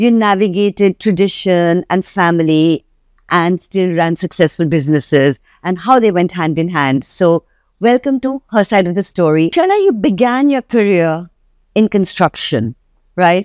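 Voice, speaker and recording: A plain, everyday voice from a woman at medium pitch, moderate pace and lively intonation, on a very clean recording with a silent background and a dry, close sound with no echo. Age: 60s. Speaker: interview show host. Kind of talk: interview.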